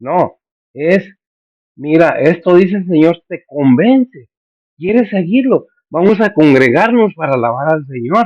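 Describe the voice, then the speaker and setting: Here a man speaks at a high pitch with lively intonation. His pace is fairly slow. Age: 70s. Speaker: pastor. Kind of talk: sermon.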